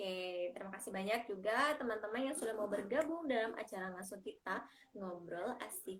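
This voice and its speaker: A woman talks at a fairly quick pace with ordinary pitch variation. Background noise is noticeable. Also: fairly high pitch for a woman. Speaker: community group host. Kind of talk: live-stream chat. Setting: live stream from a bedroom. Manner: loud. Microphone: headset not working, speaking without it.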